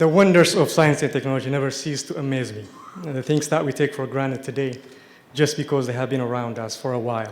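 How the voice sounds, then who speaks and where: Using fairly even intonation, a man with an Ethiopian accent talks at a fairly quick pace in a medium pitch. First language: Amharic. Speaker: TV science show host, award recipient. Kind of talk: award acceptance speech.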